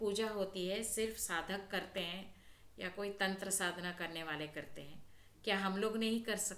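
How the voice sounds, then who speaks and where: A woman speaks in a South Indian accent. Audible room echo is present. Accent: South Indian accent in Hindi, non-native. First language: South Indian language (speaking Hindi). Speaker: spiritual healer and astrology channel host. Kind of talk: spiritual talk to camera.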